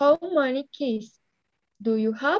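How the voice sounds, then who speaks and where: With a Spanish accent, a woman speaks at a high pitch with lively intonation, in a dry, close sound with no echo. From Colombia. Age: 20s. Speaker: English student. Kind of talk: language lesson. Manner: halting.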